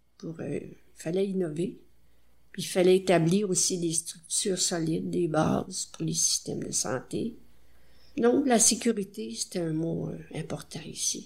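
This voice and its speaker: With vocal fry and lively intonation, a woman speaks very slowly at a fairly low pitch. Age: 80s+. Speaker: retired nurse. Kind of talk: interview.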